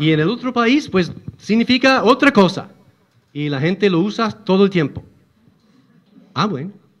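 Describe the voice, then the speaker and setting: This man talks with an English accent and a high pitch, his intonation lively. His pace is moderate, broken by long, frequent pauses. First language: English (speaking Spanish). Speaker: church teacher. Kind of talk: religious lecture. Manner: halting.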